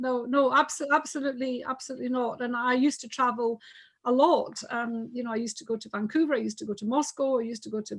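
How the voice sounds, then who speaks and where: Talking very fast in a high voice, a woman with a Scottish accent keeps her intonation fairly even while her loudness swings widely. The background is quiet. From Scotland. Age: 60s. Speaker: businesswoman. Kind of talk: casual chat.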